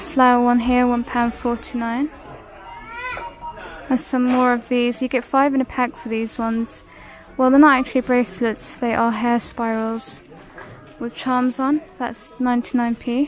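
The speaker keeps a monotone, flat intonation at a moderate pace, with long, frequent pauses, faint music in the background and a dry sound with no echo. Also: woman, high pitch for a woman. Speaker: shopping vlogger. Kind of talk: casual shop-with-me commentary. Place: shop. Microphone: phone near.

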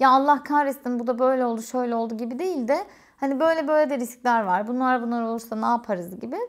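Against a quiet background, a woman with a high pitch talks at a very fast pace with ordinary pitch variation. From Turkey, Eskişehir; Turkey. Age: 30s. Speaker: YouTuber and quality engineer; vlogger. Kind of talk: casual Q&A vlog. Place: home room.

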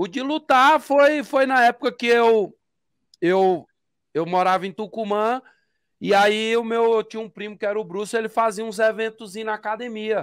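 A man speaks at a high pitch with ordinary variation. The sound is dry with no echo, over a quiet background. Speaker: interviewee. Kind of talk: interview answer. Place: home room. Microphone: studio mic.

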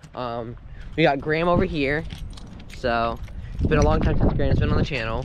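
Heard against noticeable background noise, a man's voice comes through dry, with no echo. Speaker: vlogger. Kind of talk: casual vlog chat. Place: open country. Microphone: phone near.

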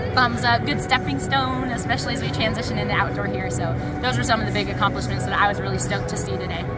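A woman talks at a very fast pace. Loud music plays in the background. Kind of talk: interview answer. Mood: happy, relieved, grateful. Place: hall.

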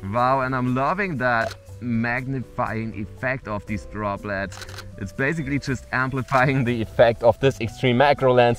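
A man speaks at a moderate pace with ordinary pitch variation. The sound is dry with no echo, and faint music plays in the background. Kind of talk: casual vlog chat. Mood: enthusiastic, amazed. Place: forest.

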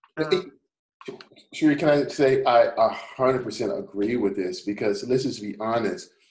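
Room echo is audible as a man with a medium pitch talks at a fairly slow pace with lively intonation. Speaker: co-host. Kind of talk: casual chat. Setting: video call. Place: home room. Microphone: video call.

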